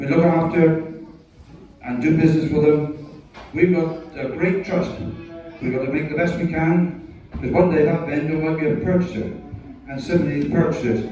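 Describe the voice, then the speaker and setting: A man's fairly high voice at a moderate pace, fairly even intonation, long, frequent pauses, and noticeable background noise. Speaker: livestock auctioneer. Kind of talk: retirement speech to live audience. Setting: livestock market ring.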